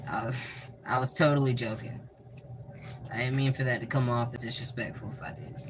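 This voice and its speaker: A man of medium pitch talks at a fairly quick pace in a flat monotone, his loudness swinging widely amid noticeable background noise. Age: 20s. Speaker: livestreamer. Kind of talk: casual livestream chat while cooking.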